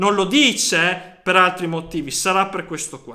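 A man's high, bright and sharp voice, raised and projected, at a fairly slow pace. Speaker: football fan youtuber. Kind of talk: casual monologue commentary. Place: home room. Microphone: phone near.

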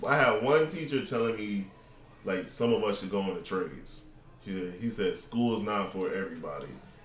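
A man with an American accent talks at a moderate pace with lively intonation, with audible room echo and light background noise. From Florida. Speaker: gaming podcast host. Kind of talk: casual chat. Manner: animated. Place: home room.

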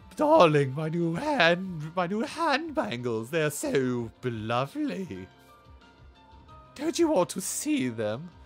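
Using a put-on character voice, a man speaks at a high pitch and a very slow pace. Music plays in the background. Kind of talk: affected, sweet, theatrical. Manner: seductive, coy, unsettling.

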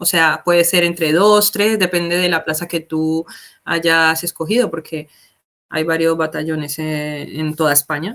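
A woman's plain, everyday voice, fairly low in pitch with fairly even intonation, at a fairly slow pace against a quiet background. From Colombia, Palmira (Valle del Cauca); Valle del Cauca, Colombia. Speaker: military corporal in an emergency unit; guest. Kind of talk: casual interview. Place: home room.

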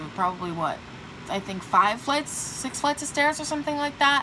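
Lively intonation carries the speech over noticeable background noise. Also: woman. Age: young. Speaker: vlogger. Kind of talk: casual talk to camera. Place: home room. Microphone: phone near.

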